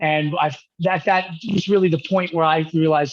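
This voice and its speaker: A man with a New York accent, against a quiet background. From New York (Manhattan, Rockland County). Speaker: musician. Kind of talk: interview.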